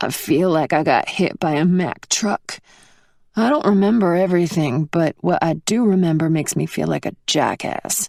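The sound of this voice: In a put-on character voice, a woman speaks at a moderate pace with a raspy, fairly low pitch, the sound dry and close with no echo on a very clean recording with a silent background.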